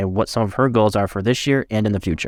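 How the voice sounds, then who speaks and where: A man talks at a very fast pace with medium pitch and ordinary pitch variation. The recording is very clean, with a silent background. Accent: American. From upstate New York, Syracuse. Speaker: podcast host, loan originator. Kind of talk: scripted intro; podcast interview.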